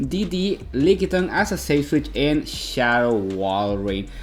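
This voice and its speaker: Noticeable background noise sits behind a man with a Mexican accent and lively intonation. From Mexico. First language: Spanish. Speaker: video game commentator. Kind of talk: gameplay commentary.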